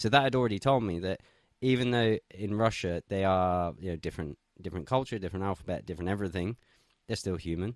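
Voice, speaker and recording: A man with an English accent at a very deep, low pitch and a very fast pace, with ordinary pitch variation, a dry, close sound with no echo and a quiet background. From England. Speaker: political commentator. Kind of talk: casual chat.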